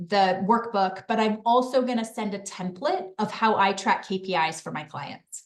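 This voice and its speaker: A woman's medium-pitched voice with ordinary pitch variation and hardly any pauses. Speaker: business advisor and webinar presenter. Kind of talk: webinar presentation; casual chat. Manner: fast.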